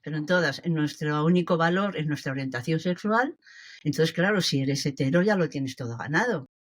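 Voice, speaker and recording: A woman speaks with a very deep, low pitch and ordinary pitch variation on a very clean recording with a silent background. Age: 70s. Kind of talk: interview answer.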